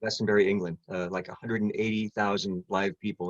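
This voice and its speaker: The man's pitch is fairly low, and the sound is dry and close with no echo. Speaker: touring keyboard player. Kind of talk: interview. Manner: halting, many fillers and restarts.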